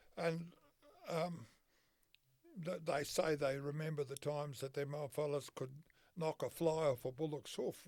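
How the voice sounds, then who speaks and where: A man with an Australian accent speaks at a fairly high pitch for a man, at a fairly slow pace, with long, frequent pauses and fairly even intonation. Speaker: horseman and whip maker. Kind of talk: interview answer. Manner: casual, folksy.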